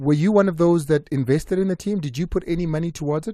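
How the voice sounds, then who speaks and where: Very fast male speech with a dark, mellow tone and ordinary pitch variation, on a very clean recording with a silent background. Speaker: sports radio host. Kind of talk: radio sports talk show.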